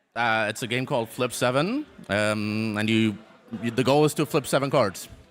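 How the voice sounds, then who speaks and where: Music plays behind a man with a German accent and a medium pitch. He speaks at a moderate pace with ordinary pitch variation. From Germany. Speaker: esports player. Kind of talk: casual interview. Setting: live tournament venue. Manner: halting.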